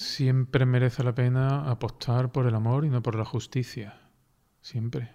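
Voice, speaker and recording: A man's somewhat breathy, dark, mellow voice at a medium pitch, very slow and fairly even in intonation, on a very clean recording with a silent background. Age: 50s. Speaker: teacher. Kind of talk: testimony.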